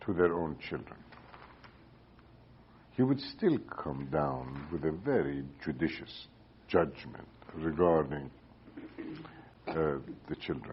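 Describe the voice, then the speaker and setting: A man with an Iranian accent talks very slowly in a very deep, low voice with vocal fry, ordinary pitch variation and long, frequent pauses. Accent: Iranian (Persian) accent in English. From Iran, Tehran. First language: Persian. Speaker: economist, former central bank governor. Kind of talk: oral history interview answer. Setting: recorded interview in Cambridge, Massachusetts.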